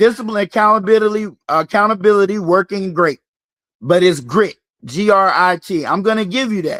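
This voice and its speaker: A man's high-pitched, bright, sharp voice with a Southern US accent, ordinary pitch variation, a fairly quick pace and a dry, close sound with no echo. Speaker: fitness coach hosting a live game. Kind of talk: live-stream game hosting.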